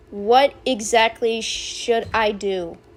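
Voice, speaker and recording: Mumbling, a woman speaks at a high pitch with ordinary pitch variation. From US. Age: young. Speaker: youtuber. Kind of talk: casual vlog.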